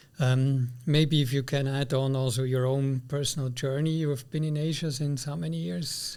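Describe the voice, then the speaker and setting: A man with a Swiss accent speaks at a moderate pace with hardly any pauses, his pitch fairly high and ordinary in its variation. The recording is very clean, with a silent background. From Switzerland. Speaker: podcast host. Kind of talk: interview.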